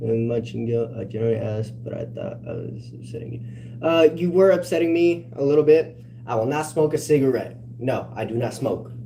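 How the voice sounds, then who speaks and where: Speaking at a moderate pace with an American accent, a man shows big swings in loudness amid audible room echo. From California. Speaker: livestreamer. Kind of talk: casual livestream chat.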